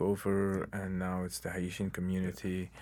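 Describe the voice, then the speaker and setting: In a very clean recording with a silent background, a man with an Arabic accent talks at a fairly slow pace in a very deep, low pitch. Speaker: novelist. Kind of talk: interview. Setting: studio. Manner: halting.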